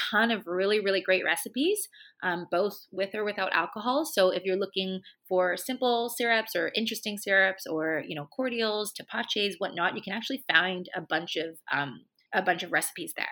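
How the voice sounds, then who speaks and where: In a very clean recording with a silent background, a woman speaks at medium pitch with a bright, sharp tone. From Hong Kong. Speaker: bartender and sommelier. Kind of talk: casual interview chat. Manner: hesitant, many fillers.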